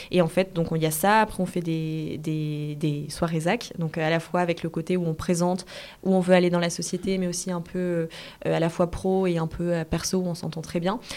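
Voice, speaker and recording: A woman's fairly low, monotone, flat voice on a very clean recording with a silent background. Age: 20s. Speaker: entrepreneur. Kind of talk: interview. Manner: fast.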